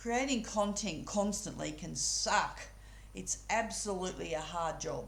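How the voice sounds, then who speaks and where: Noticeable background noise accompanies a woman whose speech proceeds at a fairly slow pace. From Australia. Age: 60s. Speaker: UGC content creator. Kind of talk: casual talk to camera. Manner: down-to-earth, relatable.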